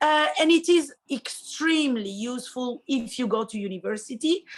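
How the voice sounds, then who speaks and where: A fairly slow delivery in an Italian accent. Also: woman. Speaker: high school Italian teacher. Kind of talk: interview.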